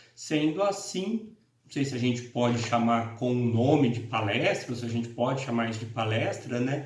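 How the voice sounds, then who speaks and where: A man at a medium pitch speaks with a Paraná accent at a moderate pace, with ordinary pitch variation and big swings in loudness, over noticeable background noise and audible room echo. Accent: Paraná interior. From Brazil, interior of Paraná (Londrina region). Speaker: law professor. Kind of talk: lecture. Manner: halting, many fillers.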